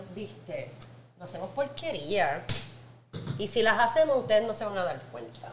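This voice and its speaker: A woman's animated voice with very wide pitch swings, big swings in loudness and long, frequent pauses, amid audible room echo and noticeable background noise. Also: medium pitch for a woman, moderate pace. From Puerto Rico, Naranjito (rural interior). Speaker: podcast host, wine professional. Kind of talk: casual chat.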